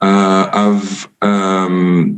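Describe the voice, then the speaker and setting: There is audible room echo around a man speaking in a French accent. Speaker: UN drug policy official, speaker. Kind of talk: conference talk. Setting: virtual forum. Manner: halting, many fillers.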